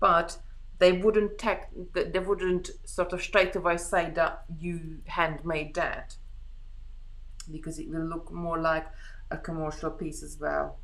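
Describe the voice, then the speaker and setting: In a Hungarian accent, a woman speaks at a fairly slow pace with big swings in loudness and audible room echo. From Hungary. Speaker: beading craft host. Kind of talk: live craft tutorial chat. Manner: halting, many restarts.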